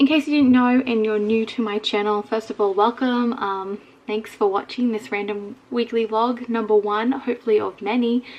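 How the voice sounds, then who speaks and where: Speaking with an Australian accent, a woman keeps a moderate pace with hardly any pauses. Her fairly high voice holds a fairly even intonation. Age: 20s. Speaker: vlogger. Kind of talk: casual vlog talk to camera. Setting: bedroom.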